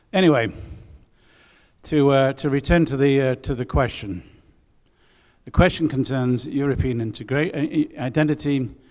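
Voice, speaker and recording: A fairly high-pitched man at a moderate pace with ordinary pitch variation and long, frequent pauses, in a very clean recording with a silent background. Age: 60s. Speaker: twin-town delegate. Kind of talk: conference speech. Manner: halting.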